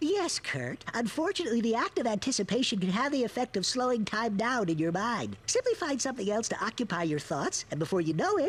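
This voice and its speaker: A cartoonish character voice, fairly high in pitch, with very wide pitch swings, a fairly quick pace, hardly any pauses and light background noise. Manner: formal, precise.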